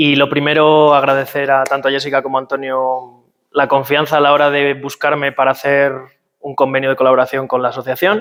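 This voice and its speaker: A man's fairly high-pitched voice at a very fast pace, with monotone, flat intonation. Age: 20s. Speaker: physiotherapist. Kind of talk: workshop talk. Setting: talk with live audience. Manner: hesitant, many fillers.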